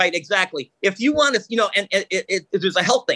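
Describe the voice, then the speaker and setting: Raised and projected, a man's bright, sharp voice moves at a fairly quick pace with an animated tone and lively intonation, in a dry, close sound with no echo. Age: 60s. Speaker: radio host and engineer. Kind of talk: casual chat. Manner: animated, fast talker.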